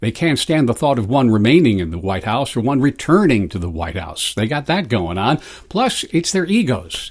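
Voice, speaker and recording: A man with an American accent speaks at a moderate pace, his pitch swinging very widely. Vocal fry runs through his voice. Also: medium pitch for a man. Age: 70s. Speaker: commentary vlogger. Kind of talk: opinion monologue. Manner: halting.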